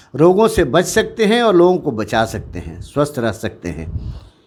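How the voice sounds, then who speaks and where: With very wide pitch swings, a man speaks through vocal fry. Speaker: retired army officer, school head. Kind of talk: interview statement.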